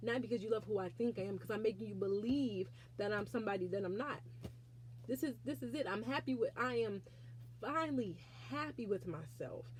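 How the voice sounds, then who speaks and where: A woman talks at a fairly quick pace with vocal fry. Her pitch swings very widely. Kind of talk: faith testimony. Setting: alone in prayer closet, self-recorded. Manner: halting.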